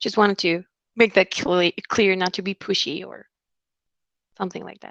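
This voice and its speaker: A woman with a Spanish accent speaks at a medium pitch with vocal fry and fairly even intonation. Her loudness swings a lot, and the sound is dry and close with no echo. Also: moderate pace. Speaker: recruiter. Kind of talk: interview.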